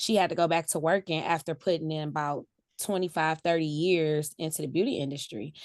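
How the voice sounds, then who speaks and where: Over a quiet background, a woman with a plain, everyday voice speaks at a moderate pace, with a fairly low pitch and fairly even intonation. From US Midwest, greater Cleveland, Ohio. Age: 40s. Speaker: salon owner. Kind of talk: interview.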